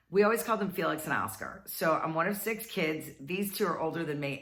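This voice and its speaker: A woman speaks at a very fast pace in an upbeat tone. Her voice has a bright, sharp tone. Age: 50s. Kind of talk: casual storytelling to camera. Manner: chatty, upbeat.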